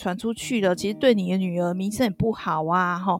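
This woman talks at a very fast pace. Her pitch varies in an ordinary way. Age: middle-aged. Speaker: podcast co-host. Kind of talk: casual drama review chat. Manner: hesitant, many fillers.

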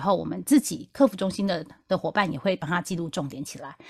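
A woman's somewhat breathy voice, fairly quick, with very wide pitch swings. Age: middle-aged. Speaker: podcast host, customer service veteran. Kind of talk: casual chat.

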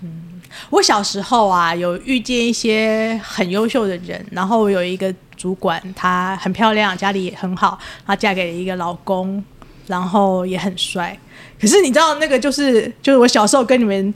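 At a moderate pace and medium pitch, a woman speaks in a normal speaking voice with ordinary pitch variation. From Taiwan, Taipei (Wanhua). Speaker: podcast host. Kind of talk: casual chat.

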